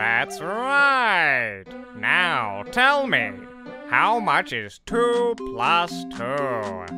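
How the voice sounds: A put-on character voice from a man, fairly high in pitch, very slow, with very wide pitch swings and clear music in the background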